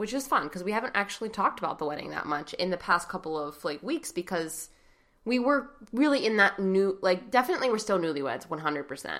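Very wide pitch swings mark this woman's medium-pitched voice. She talks at a very fast pace. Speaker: podcast host. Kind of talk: casual chat. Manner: giggly, frequent laughter.

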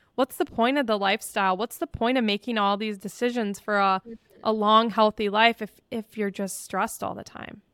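With a dry, close sound and no echo, a woman uses an ordinary speaking voice at a fairly high pitch, moderate pace and fairly even intonation. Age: 20s. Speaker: podcast host. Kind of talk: casual chat.

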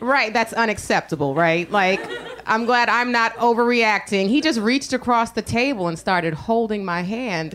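Background noise is noticeable here. A woman speaks at a moderate pace. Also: ordinary pitch variation. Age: 30s. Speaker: stand-up comedian. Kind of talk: stand-up. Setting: stage with audience.

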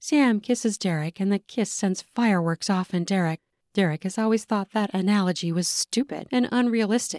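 This is plain reading aloud with ordinary pitch variation against a quiet background.

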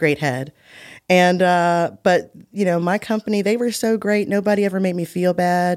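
A woman with an American accent has an ordinary speaking voice, fairly low in pitch, at a moderate pace on a very clean recording with a silent background. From West Virginia. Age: 40s. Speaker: healthcare executive and cancer survivor. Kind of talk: casual interview. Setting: studio.

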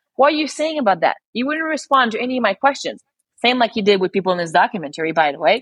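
Speaking very fast in a Quebec accent, a woman with a high voice swings her pitch very widely. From Quebec, Montreal. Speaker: spearfisher and former lawyer. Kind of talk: podcast interview.

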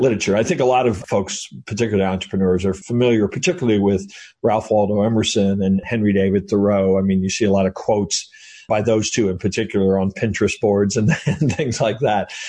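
Fairly quick and very even in loudness, a man talks with an unremarkable speaking voice, his fairly low pitch showing ordinary variation. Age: 50s. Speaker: author and entrepreneur. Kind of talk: interview.

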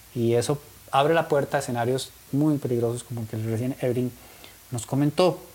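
A man with a Costa Rican accent talks at a fairly quick pace in a medium pitch, his voice somewhat breathy. His intonation stays fairly even, broken by long, frequent pauses. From Costa Rica (Turrialba). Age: 40s. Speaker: talk show host. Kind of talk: interview. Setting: in-person studio, streamed live.

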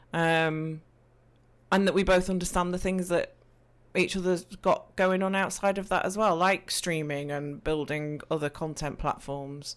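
Recorded very cleanly against a silent background, a woman with an East Midlands accent talks at a fairly low pitch with fairly even intonation. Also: fairly slow pace. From English Midlands. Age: 40s. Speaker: Twitch streamer and podcaster. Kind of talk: casual interview chat.

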